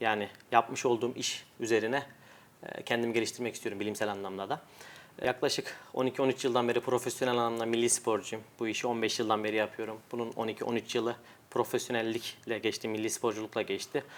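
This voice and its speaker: A man at medium pitch talks at a fairly quick pace in a monotone, flat intonation. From Turkey, Adana. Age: 20s. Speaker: world champion arm wrestler. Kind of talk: interview.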